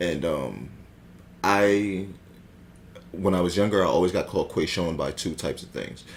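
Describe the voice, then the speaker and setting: A man's very deep, low voice with vocal fry and fairly even intonation, at a moderate pace with long, frequent pauses. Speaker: podcast co-host. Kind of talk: casual chat. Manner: halting, many fillers.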